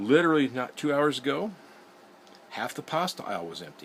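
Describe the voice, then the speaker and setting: A man with vocal fry talks at a fairly quick pace. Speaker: prepping video host. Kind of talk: casual monologue. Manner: slurring words.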